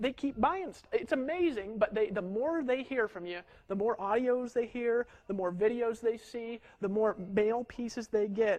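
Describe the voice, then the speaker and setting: Extremely high in pitch for a man, his energetic voice shows ordinary pitch variation. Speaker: network marketing trainer. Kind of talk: marketing training talk. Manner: fast.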